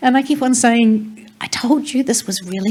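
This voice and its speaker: Lively intonation in a New Zealand accent at a moderate pace, over noticeable background noise. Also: woman. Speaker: theatre director. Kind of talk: panel discussion.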